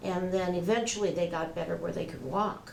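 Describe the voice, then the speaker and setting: Amid noticeable background noise and audible room echo, a woman with a fairly low pitch speaks at a moderate pace. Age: 70s. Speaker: patient. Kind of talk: testimony. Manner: halting.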